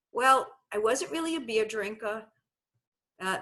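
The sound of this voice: A woman with a Brooklyn accent speaks at a fairly slow pace. Her fairly high voice has a bright, sharp tone and lively intonation.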